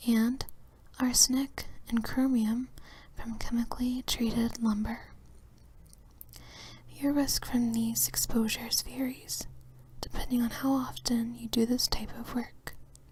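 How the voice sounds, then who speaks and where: The speaker whispers, soft-spoken and fairly slow. Long, frequent pauses break up the words. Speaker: ASMR reader. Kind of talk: whisper ASMR reading of an instruction manual for sleep. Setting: relaxation and sleep audio. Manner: whispered, soft-spoken.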